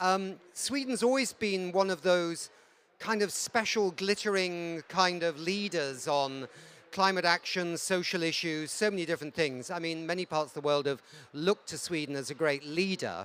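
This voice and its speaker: A British accent at a moderate pace. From Britain. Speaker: interviewer. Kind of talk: interview. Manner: hesitant, many fillers.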